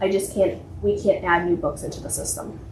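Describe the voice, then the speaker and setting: A woman's voice with audible room echo. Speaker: library director. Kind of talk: board meeting report. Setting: public meeting in township hall. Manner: fast; frequent filler words.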